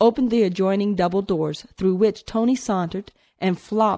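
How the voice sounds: This is a natural reading voice. Nothing else is noted.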